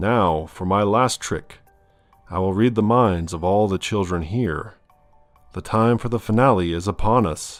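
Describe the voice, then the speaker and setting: A booming, put-on character voice moves at a moderate pace over faint background music. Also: man, fairly low pitch for a man. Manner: theatrical, ominous.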